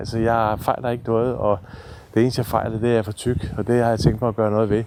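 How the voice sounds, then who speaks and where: Speaking rather quickly, a man delivers his words in a dark, mellow tone. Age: 60s. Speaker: therapy trek participant. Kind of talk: personal video diary. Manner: halting.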